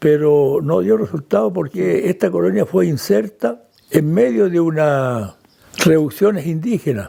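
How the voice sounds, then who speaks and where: Pitch jumps up and down very widely. It belongs to a man. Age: 80s+. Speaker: descendant of Swiss settlers. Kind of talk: interview testimony.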